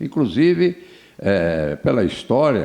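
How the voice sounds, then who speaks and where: A man's fairly low, dark, mellow voice with lively intonation. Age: 70s. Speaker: former mayor and businessman. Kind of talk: interview. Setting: studio. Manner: halting, many repetitions.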